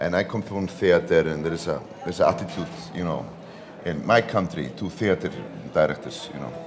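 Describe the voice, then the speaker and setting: A man talks at a fairly quick pace with long, frequent pauses over noticeable background noise. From Iceland. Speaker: film director, actor. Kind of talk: interview. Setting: cultural centre at a film festival.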